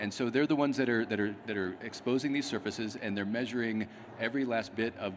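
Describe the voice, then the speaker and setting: A man talks at a very fast pace. Light background noise is present. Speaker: guest. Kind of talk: interview answer. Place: hall.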